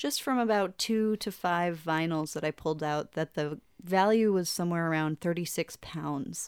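A woman's unremarkable speaking voice, fairly low in pitch with ordinary pitch variation, at a moderate pace in a dry, close sound with no echo. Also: very clean recording, silent background. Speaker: podcast host. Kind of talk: casual chat.

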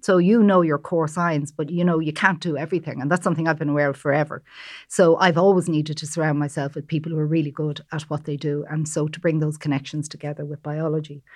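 This woman talks very fast with hardly any pauses, her pitch very deep and low. Her intonation is flat and monotone, she has an Irish accent, and the background is quiet. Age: old. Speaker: pharmacy professor, natural product chemist. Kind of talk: panel discussion.

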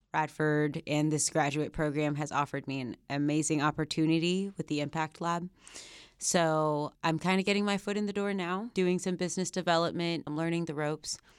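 In a Mid-Atlantic accent, a woman with a very deep, low pitch speaks at a fairly quick pace and with fairly even intonation. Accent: American, Mid-Atlantic. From Northern Virginia, Alexandria. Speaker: graduate student. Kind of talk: interview.

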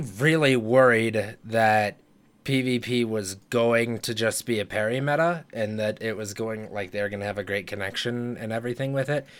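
An animated tone at a moderate pace, in a very clean recording with a silent background. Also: man. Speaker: podcast host. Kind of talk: casual chat about a video game. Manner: animated, profane, excitable.

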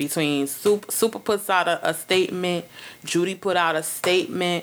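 In a Brooklyn accent, a woman speaks with an animated tone, a fairly low pitch, and ordinary pitch variation. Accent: New York urban, Brooklyn. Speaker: podcast host. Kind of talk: casual chat, comedic banter with profanity. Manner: animated, loud, joking.

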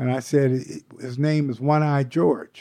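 In a quiet background, a man uses an ordinary speaking voice, medium in pitch with ordinary pitch variation. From US Pacific Northwest, Seattle. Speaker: jazz saxophonist. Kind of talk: interview.

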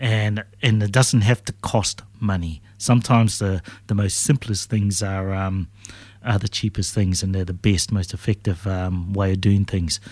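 On a very clean recording with a silent background, a man with a New Zealand accent speaks at a fairly low pitch with fairly even intonation. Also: moderate pace. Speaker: political candidate and businessman. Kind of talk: radio interview. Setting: radio studio.

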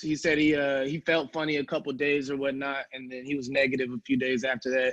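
With an unremarkable speaking voice, a man talks at a moderate pace and fairly high pitch in a quiet background. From New Jersey, moved to US South. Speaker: rapper and filmmaker. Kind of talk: interview.

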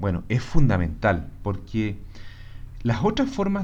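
A man with a medium-pitched, somewhat breathy voice and a dark, mellow tone speaks with very wide pitch swings amid audible room echo. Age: 40s. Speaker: commercial engineer, host's husband. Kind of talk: casual conversation.

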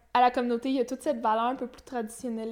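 A woman speaks in a Quebec accent with monotone, flat intonation. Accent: Québécois French. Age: 20s. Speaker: young entrepreneur. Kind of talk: interview.

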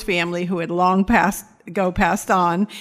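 The voice carries an American accent and a monotone, flat intonation. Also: woman. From New York, then Florida. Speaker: rehab program director. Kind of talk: testimony.

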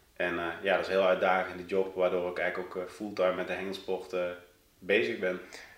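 At a very fast pace, a man with a very deep, low pitch speaks in a monotone, flat intonation amid audible room echo. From Netherlands, South Limburg (near Sittard). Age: 30s. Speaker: carp angler and fishing-tackle company employee, former soldier. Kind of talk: podcast interview.

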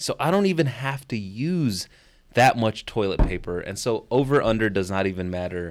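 At a moderate pace, a man with a Chicago accent speaks at medium pitch in an animated tone with lively intonation, in a very clean recording with a silent background. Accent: Chicago American English. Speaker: rapper and English teacher. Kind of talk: casual interview. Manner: animated, profane.

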